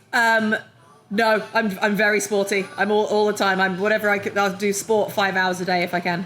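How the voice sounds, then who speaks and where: A woman speaks in a strong British accent at a moderate pace. Her loudness stays very even. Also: medium pitch for a woman. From London, England. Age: middle-aged. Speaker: comedian. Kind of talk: casual chat. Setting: brewery taproom. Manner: animated.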